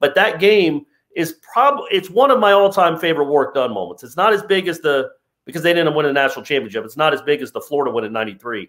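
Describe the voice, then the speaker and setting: A man's fairly high voice with vocal fry, very fast, hardly any pauses, very wide pitch swings and big swings in loudness. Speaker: sports analyst. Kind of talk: casual sports discussion.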